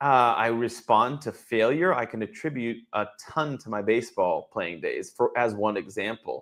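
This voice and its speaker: An ordinary speaking voice with an American accent moves at a moderate pace with ordinary pitch variation and hardly any pauses. The recording is very clean with a silent background. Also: man, medium pitch for a man. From Boston area. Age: 40s. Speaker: former baseball player turned wealth advisor. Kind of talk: interview. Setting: live stream.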